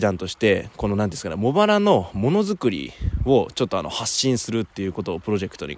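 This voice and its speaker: Man of medium pitch speaking at a fairly quick pace. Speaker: podcaster and company founder. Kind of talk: casual monologue. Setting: outdoors by a river.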